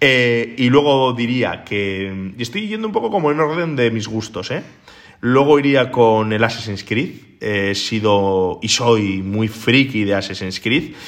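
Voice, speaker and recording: In a room with audible echo, a man speaks at a very slow pace with medium pitch and ordinary pitch variation. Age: 30s. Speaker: podcast host. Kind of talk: casual chat.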